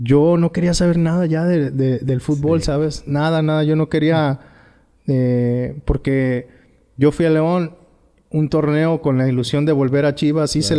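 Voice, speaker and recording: A man with a fairly high pitch and a dark, mellow tone. His intonation stays fairly even at a moderate pace over a quiet background. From Tepic, Nayarit, Mexico; Nayarit, Mexico. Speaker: former professional footballer; guest. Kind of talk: interview. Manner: halting. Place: home room. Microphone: studio mic.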